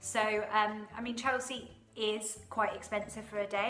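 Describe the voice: A woman speaks at medium pitch with fairly even intonation and a bright, sharp tone. Room echo is audible.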